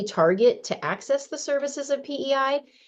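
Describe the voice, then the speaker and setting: A woman with an unremarkable speaking voice, lively intonation and a moderate pace against a quiet background. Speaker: county program manager. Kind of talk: slide presentation at a meeting.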